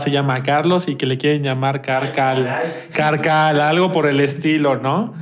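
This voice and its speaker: Through noticeable background noise and audible room echo, a man's fairly high pitch comes across. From Mexico. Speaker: podcast co-host. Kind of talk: casual chat.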